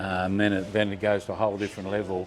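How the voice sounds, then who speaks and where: A man with an Australian accent speaks at a fairly low pitch. His intonation is monotone and flat, with noticeable background noise behind him. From Queensland, Australia. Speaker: top fuel motorcycle drag racer. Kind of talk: interview answer. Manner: soft-spoken.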